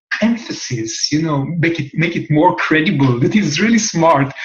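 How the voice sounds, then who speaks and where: A man with a somewhat breathy voice and a strong non-native accent. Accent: heavy foreign accent in English. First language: Hebrew. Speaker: human design teacher. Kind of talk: talk-to-camera lecture. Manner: halting, with many fillers.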